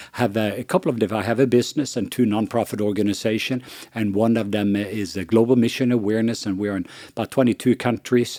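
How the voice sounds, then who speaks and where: A man with a Norwegian accent talks at a very fast pace with fairly even intonation. His tone is dark and mellow, on a very clean recording with a silent background. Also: medium pitch for a man. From Norway. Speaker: missionary and ministry leader. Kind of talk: podcast conversation. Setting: studio around a table.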